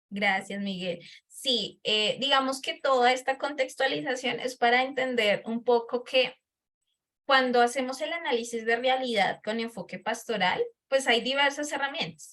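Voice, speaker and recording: A woman with a bright, sharp tone and a high pitch speaks at a fairly slow pace. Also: ordinary pitch variation. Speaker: lecturer. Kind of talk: lecture.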